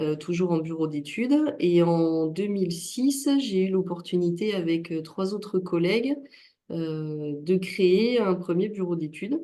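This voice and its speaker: A woman's fairly low, dark, mellow voice with lively intonation, at a very slow pace. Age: 40s. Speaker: engineering company director. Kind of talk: testimony. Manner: hesitant, many fillers.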